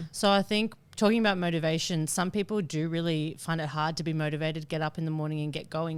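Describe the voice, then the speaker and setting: Someone talks at a very fast pace in an Australian accent. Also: woman. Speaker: podcast co-host. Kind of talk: casual chat. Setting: hotel bar. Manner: loud; animated.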